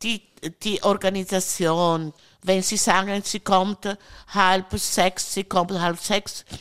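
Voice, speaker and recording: A woman with an Italian accent speaks very slowly in a medium pitch with monotone, flat intonation, the sound dry and close with no echo. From Italy, Friuli. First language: Italian (speaking German). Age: 60s. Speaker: countess. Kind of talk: casual chat. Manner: halting.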